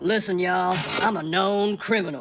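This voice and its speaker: Putting on a character voice, a man drawls at a moderate pace in a high pitch. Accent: Western US. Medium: cartoon. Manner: gloomy, resigned drawl.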